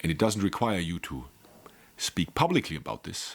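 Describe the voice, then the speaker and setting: In a very deep, low pitch, a man speaks with a non-native accent and ordinary pitch variation. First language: not English. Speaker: life coach. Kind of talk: monologue video lecture. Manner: animated.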